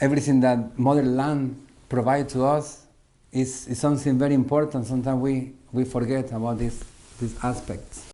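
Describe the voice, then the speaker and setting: The tone is dark and mellow, with a Salvadoran accent. Intonation stays monotone and flat. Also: man, medium pitch for a man, moderate pace. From El Salvador. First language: Spanish. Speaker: musician. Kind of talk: interview. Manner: halting, many fillers and repeats.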